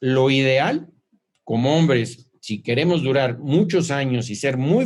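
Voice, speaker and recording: This man has an unremarkable speaking voice at a medium pitch. He talks at a fairly slow pace with ordinary pitch variation. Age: 60s. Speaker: clinical nutrition doctor. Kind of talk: informal lecture.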